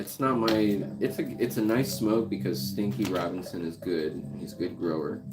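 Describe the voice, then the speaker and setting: With music playing behind him and audible echo in the room, a man talks with lively intonation, hardly any pauses, and a very deep, low pitch. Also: moderate pace. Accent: American. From Guam. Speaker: drummer and channel host. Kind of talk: casual chat. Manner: animated.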